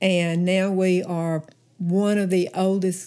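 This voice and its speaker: A woman's dark, mellow voice in a Southern US accent. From Alabama. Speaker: church member and Sunday school teacher. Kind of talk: casual interview. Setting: podcast recording.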